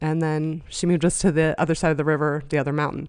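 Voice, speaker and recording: A woman talks very fast with an American accent, her pitch very deep and low. The background is quiet. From western Pennsylvania (Johnstown, near Pittsburgh). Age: 40s. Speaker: domestic violence survivor. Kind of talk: casual interview. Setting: in person at host's house.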